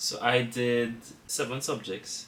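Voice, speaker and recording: A man with a Trinidadian accent. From Trinidad and Tobago. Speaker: engineering student. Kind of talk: casual interview chat.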